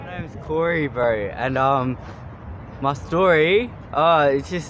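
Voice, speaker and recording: Lively intonation and an Australian accent come at a very slow pace. Both noticeable background noise and audible room echo can be heard. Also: man, fairly high pitch for a man. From Australia, adopted from Thailand at two. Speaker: street interviewee. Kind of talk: street interview.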